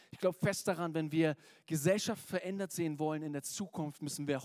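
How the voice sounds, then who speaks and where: A man's high-pitched, animated voice at a very fast pace, dry and close with no echo. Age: 30s. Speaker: preacher. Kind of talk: sermon. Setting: church.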